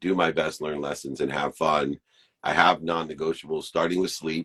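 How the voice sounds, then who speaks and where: The man has a very deep, low pitch with vocal fry. The sound is dry and close, with no echo. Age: 50s. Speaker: podcast co-host. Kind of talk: casual chat.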